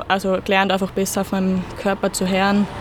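Noticeable background noise is present. A woman talks through it. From Austria, Salzburg (Pinzgau). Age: 20s. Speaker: ski racer. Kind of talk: interview. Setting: outdoors in a parish garden.

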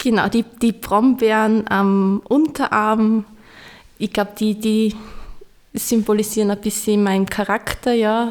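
Very slowly and with very even loudness, a woman speaks at a fairly high pitch in monotone, flat intonation. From Austria, Styria. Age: 30s. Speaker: parish pastoral worker. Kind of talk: interview.

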